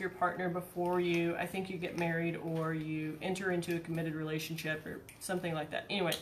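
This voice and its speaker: Soft-spoken and fairly low in pitch, a woman talks at a fairly quick pace. The room has an audible echo, and noticeable background noise is present. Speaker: vlogger. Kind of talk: casual chat. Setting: garage. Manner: halting.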